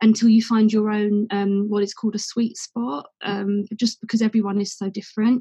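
Somewhat breathy and fairly high-pitched, a woman with an English accent speaks at a moderate pace in a dark, mellow tone and monotone, flat intonation, the sound dry and close with no echo. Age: 30s. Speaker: CBD company co-founder. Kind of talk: casual interview.

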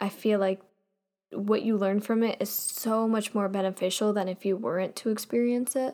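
Heard in a very clean recording with a silent background, an unremarkable speaking voice moves at a moderate pace. The intonation stays fairly even. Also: woman. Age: young. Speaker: podcast host. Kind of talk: casual monologue.

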